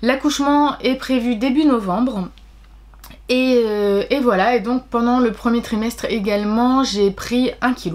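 A woman with a high voice talks fairly slowly, keeping her intonation fairly level. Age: 30s. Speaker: book vlogger. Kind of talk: personal vlog. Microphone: webcam.

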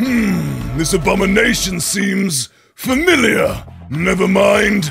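A man's put-on character voice, raspy and high-pitched, at a fairly slow pace. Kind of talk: game patch notes read in character. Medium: role play. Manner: intense, theatrical.

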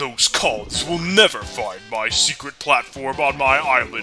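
A man speaks in a put-on character voice at a medium pitch and a fairly slow pace. Clear music plays in the background. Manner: scheming, boastful.

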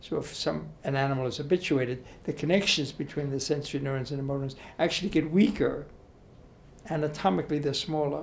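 His voice comes out somewhat breathy. The man talks at a fairly quick pace. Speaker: interviewee. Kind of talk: interview answer. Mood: calm, explanatory. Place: hall. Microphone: handheld.

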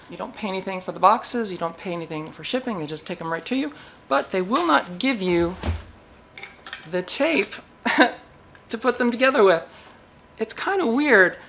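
Lively intonation carries the speech at a moderate pace, with big swings in loudness. Long pauses come often over light background noise. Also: woman. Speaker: electronics hobby channel host. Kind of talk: casual vlog chat. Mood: playful, mildly exasperated. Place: workshop.

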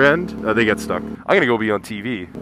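A man talking very fast with very wide pitch swings, noticeable background noise and a dry sound with no echo. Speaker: motorcycle vlogger. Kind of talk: casual motovlog commentary while riding. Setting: outdoors on a motorcycle, helmet headset. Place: motorbike. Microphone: helmet.

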